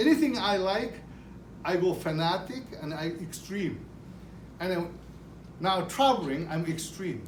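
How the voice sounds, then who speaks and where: Audible room echo surrounds a man speaking with a Japanese accent. He talks fairly slowly in a high pitch. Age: 60s. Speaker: retired business owner. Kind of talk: speech to an audience. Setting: car dealership event. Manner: halting.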